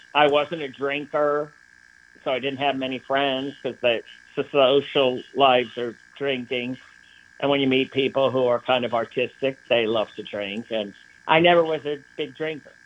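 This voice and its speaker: This is an unremarkable speaking voice. Its intonation stays fairly even. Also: man, medium pitch for a man, moderate pace. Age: 60s. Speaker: artist. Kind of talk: interview. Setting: remote interview from his studio.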